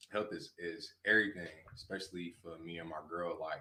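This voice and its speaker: A man speaks at a very deep, low pitch and a moderate pace. His tone is bright and sharp, and his intonation fairly even. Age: 20s. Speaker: rapper and producer. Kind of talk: casual interview chat.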